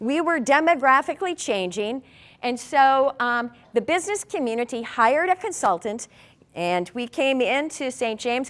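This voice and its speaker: Her high pitch moving in very wide swings, a woman with an Upper Midwest accent speaks at a moderate pace. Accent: Upper Midwest (Minnesota). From southern Minnesota, Martin County. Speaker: community leader. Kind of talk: presentation to an audience.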